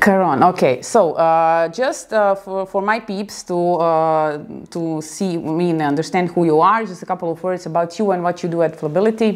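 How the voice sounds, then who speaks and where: In an Eastern European accent, a woman with a fairly low pitch and ordinary pitch variation speaks at a moderate pace with hardly any pauses, on a very clean recording with a silent background. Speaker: video blogger. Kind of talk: video interview. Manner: halting.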